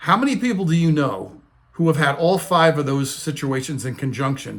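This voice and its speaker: In an American accent, a man with a fairly high pitch and a somewhat breathy voice talks at a moderate pace with ordinary pitch variation. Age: 60s. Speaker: retirement finance video host. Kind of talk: casual talking-head explainer.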